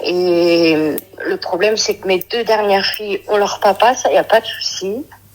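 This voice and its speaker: A woman speaking with fairly even intonation over noticeable background noise. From Brittany, France. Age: 30s. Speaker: caller. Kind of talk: phone-in advice call. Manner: hesitant.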